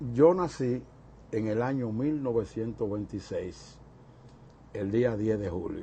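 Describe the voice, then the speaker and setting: Very slow and breathy in places, a man speaks at medium pitch with a dark, mellow tone and ordinary pitch variation. He leaves long, frequent pauses. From Dominican Republic, Santo Domingo. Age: 70s. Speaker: interviewee recalling his life. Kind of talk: oral history interview. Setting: recorded interview on camera.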